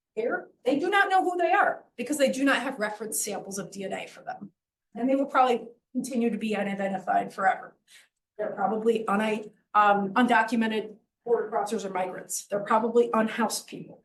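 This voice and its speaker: Audible room echo surrounds a woman whose fairly high, somewhat breathy voice moves with lively intonation. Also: fairly quick pace. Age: middle-aged. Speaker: professor. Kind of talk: lecture. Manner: fast.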